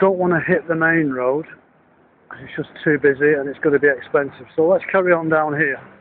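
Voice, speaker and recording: Over light background noise, a man with a northern English accent talks at a fairly quick pace and fairly high pitch with fairly even intonation in a dry sound with no echo. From Northern England. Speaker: business consultant and fund manager. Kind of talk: casual video diary talk to camera. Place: street. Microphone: phone near.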